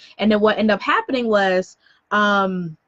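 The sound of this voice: A woman speaks with an American accent at a fairly slow pace. Her tone is fairly bright.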